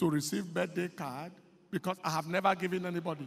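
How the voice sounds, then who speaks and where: With music in the background, a man speaks at a high pitch. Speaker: pastor. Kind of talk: sermon. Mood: light, humorous anecdote. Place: church. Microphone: handheld.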